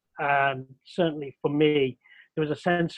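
The speaker has a Mancunian accent and a fairly slow pace. The intonation is monotone and flat. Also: man. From Manchester, Old Trafford. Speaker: researcher. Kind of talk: casual chat.

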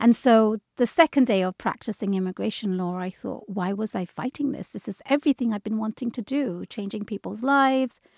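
A woman with an American accent and a fairly high pitch speaks at a moderate pace with ordinary pitch variation. The recording is very clean, with a silent background and a dry, close sound with no echo. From London, England. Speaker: immigration lawyer. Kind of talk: interview.

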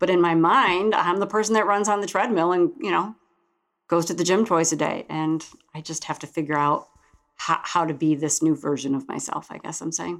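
A woman speaks in an unremarkable speaking voice with fairly low pitch. Her pace is fairly quick, and her pitch varies in an ordinary way. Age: 50s. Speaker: host's mother, heart patient. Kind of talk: testimony. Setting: studio.

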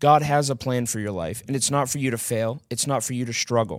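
This man has an unremarkable speaking voice with an American accent. His pitch is medium, with ordinary pitch variation. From small-town US. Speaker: former drug addict sharing testimony. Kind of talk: prayer; testimony.

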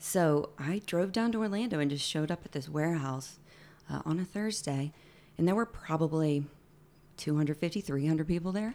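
A woman with an American accent speaks at a fairly quick pace, her pitch very deep and low with ordinary variation. The recording is very clean, with a silent background. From Alabama, US South. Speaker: former theme park character performer. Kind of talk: casual chat. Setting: home studio.

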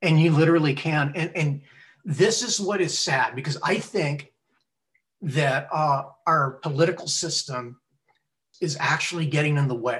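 In an American accent, a man speaks at a moderate pace and a fairly high pitch with ordinary pitch variation. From US, Texas (Laredo). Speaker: retired naval officer and scientist. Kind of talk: casual interview. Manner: halting, repeats words.

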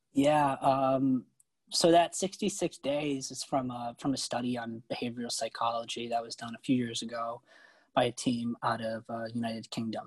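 A man has a plain, everyday voice at a medium pitch. He talks at a moderate pace with fairly even intonation, in a dry, close sound with no echo. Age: 20s. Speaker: investment research analyst. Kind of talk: podcast interview. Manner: many filler words.

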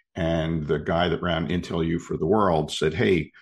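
Talking at a fairly slow pace, a man with an American accent has a very deep, low pitch. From US Northeast, Philadelphia. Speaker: leadership consultant and professor. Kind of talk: interview. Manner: hesitant, many fillers and repeats.

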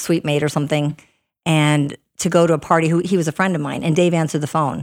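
The recording is very clean with a silent background, and the speaker uses monotone, flat intonation with an Upper Midwest accent. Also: woman. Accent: Upper Midwest American. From US Upper Midwest, Minnesota. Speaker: hockey coach's wife and realtor. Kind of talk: casual podcast interview.

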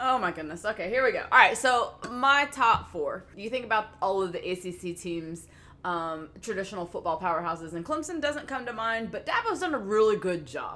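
With a Tennessee accent, a woman with a fairly high pitch talks at a moderate pace, her pitch swinging very widely and hardly any pauses breaking it up. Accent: Southern US (Tennessee). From US South, Memphis. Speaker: sports podcast co-host. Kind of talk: casual chat.

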